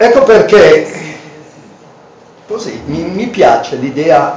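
Very slow speech with very wide pitch swings, light background noise and audible room echo. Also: man, high pitch for a man. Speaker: professor reading dialect poetry. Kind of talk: book presentation talk. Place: hall. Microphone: camera far.

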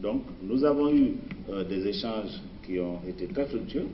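A man's voice comes with light background noise and audible room echo. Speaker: guest. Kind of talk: interview answer. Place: studio. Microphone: podium.

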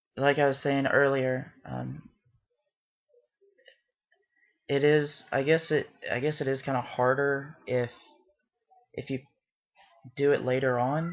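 The speech moves at a moderate pace. Long, frequent pauses break it up. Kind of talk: casual vlog chat. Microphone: webcam.

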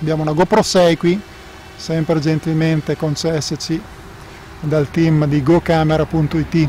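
A man's flat, monotone delivery at a fairly slow pace, dry with no echo, over light background noise. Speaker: drone reviewer pilot. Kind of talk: live commentary. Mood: relaxed, lightly joking. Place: open country.

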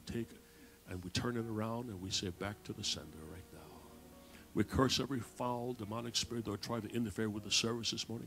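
A man's voice shows ordinary pitch variation, with light background noise behind it. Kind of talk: public prayer. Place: church.

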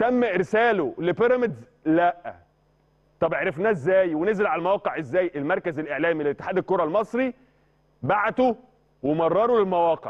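A man with an Egyptian accent speaks at a high pitch and a moderate pace in an animated tone. His loudness stays very even against a quiet background. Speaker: sports journalist. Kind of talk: sports talk show discussion. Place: studio. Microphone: lapel.

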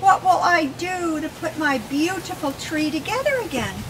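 A woman's raised, projected voice at a very slow pace, amid noticeable background noise. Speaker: children's book author and grandmother. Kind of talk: expressive children's story reading to a child. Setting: home, intimate reading with a young child. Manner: expressive, warm, interactive. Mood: warm, expressive, animated. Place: garden.

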